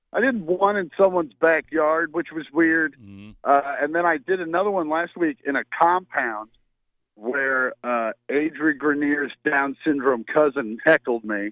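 This man has a plain, everyday voice at a fairly high pitch. He talks fairly slowly with lively intonation. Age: 40s. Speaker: stand-up comedian. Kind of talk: casual chat.

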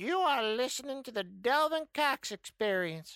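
Over a very clean recording with a silent background, a female-sounding put-on character voice is raised and projected at a high pitch and a moderate pace. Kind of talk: formal phone greeting.

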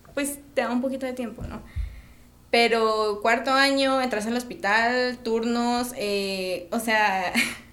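In a room with audible echo, a woman speaks at a fairly slow pace in a high pitch. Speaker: medical student. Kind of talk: casual interview.

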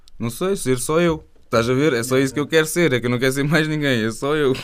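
Talking at a very fast pace, a man uses a medium pitch. His pitch variation is ordinary. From Algarve, Portugal. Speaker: rapper. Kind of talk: casual interview. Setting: radio studio.

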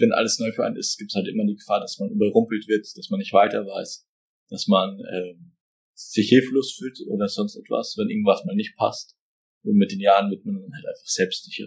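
A man talks fairly quickly, and his loudness rises and falls a great deal. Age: 20s. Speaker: business owner. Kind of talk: interview answers.

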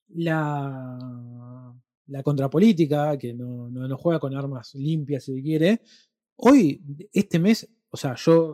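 A man with a Rioplatense accent, fairly high in pitch with a dark, mellow tone, very slow with long, frequent pauses, big swings in loudness and ordinary pitch variation. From Argentina. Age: 30s. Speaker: podcast co-host and film reviewer. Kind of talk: casual chat.

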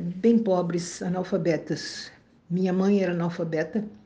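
Breathy to some degree, a woman speaks at a very slow pace in a dark, mellow tone. Her medium pitch stays monotone and flat. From southern Brazil, Bagé (Rio Grande do Sul). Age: 70s. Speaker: retired teacher. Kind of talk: testimony.

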